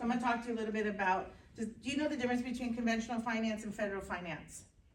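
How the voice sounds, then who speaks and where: Audible room echo surrounds a woman speaking at a very fast pace. Her pitch is fairly high, with ordinary pitch variation. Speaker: mortgage industry representative. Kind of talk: meeting presentation. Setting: town hall meeting with audience.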